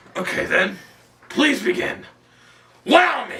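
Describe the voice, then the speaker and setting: Someone uses a put-on character voice at a fairly slow pace, with audible echo around the speech. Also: high pitch. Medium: audio drama. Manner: abrupt, fussy.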